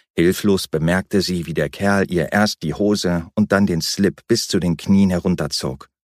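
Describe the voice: Fairly even intonation in plain reading aloud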